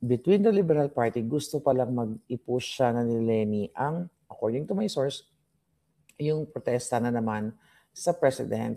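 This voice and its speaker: A man speaks quietly at a moderate pace. His voice has a medium pitch, ordinary pitch variation and a dark, mellow tone. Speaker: political commentary vlogger. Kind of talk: casual political commentary. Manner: lowered, quieter voice.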